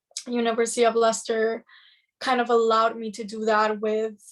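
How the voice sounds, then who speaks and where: Here a woman speaks with a Spanish accent at a moderate pace. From Madrid, Spain. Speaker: engineering student mentor. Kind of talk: casual chat.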